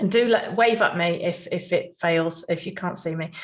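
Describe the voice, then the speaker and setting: A woman speaks fairly slowly in a somewhat breathy voice. Room echo can be heard. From England, Nottingham. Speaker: conference speaker, healthcare trainer and business owner. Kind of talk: conference presentation.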